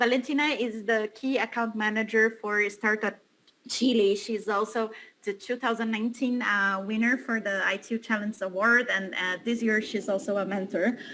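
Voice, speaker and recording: A woman with a Portuguese accent speaks at a moderate pace in a bright, sharp, fairly high voice with fairly even intonation. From Brazil. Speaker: panel moderator. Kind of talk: panel moderation. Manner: halting, many fillers.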